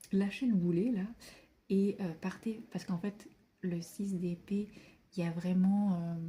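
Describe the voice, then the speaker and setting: The voice is dark, mellow and somewhat breathy, moving at a fairly slow pace. Long, frequent pauses break up its fairly even intonation. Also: woman, medium pitch for a woman. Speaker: tarot card reader. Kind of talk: tarot reading monologue. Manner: hesitant with many fillers.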